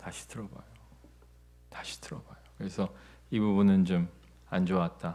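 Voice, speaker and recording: With a dark, mellow tone, this man speaks through very wide pitch swings. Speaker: pastor. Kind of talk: sermon.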